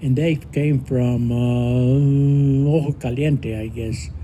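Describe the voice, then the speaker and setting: Speaking at a very slow pace, a man uses a fairly high pitch with a dark, mellow tone. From northern New Mexico. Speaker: community elder telling life story. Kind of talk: personal testimony to a live audience. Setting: live event with audience, no microphone. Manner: loud; halting with fillers. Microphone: speaking without a microphone.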